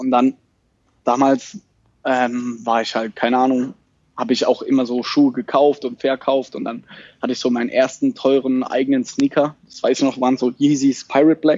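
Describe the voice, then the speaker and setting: A man speaks at a moderate pace. His intonation is flat and monotone. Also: medium pitch for a man. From Germany, Mannheim/Heidelberg area. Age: 20s. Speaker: startup founder. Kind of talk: casual interview.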